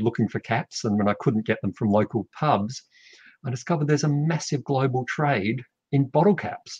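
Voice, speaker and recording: Over a quiet background, a somewhat breathy man with an Australian accent talks at a fairly quick pace with lively intonation, the sound dry with no echo. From South Australia. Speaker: artist and art school teacher. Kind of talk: interview about his artwork. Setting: video call. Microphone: video call.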